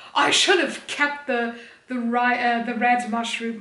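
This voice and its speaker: Audible room echo surrounds a woman speaking at a high pitch and a fairly slow pace. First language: German. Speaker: streamer and video creator. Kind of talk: casual haul video chat.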